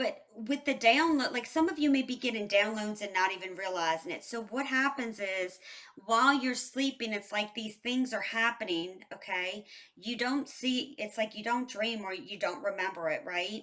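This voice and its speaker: A woman with a fairly high pitch speaks at a moderate pace in an ordinary speaking voice, her intonation lively. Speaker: tarot reader. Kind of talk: tarot reading. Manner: casual, conversational.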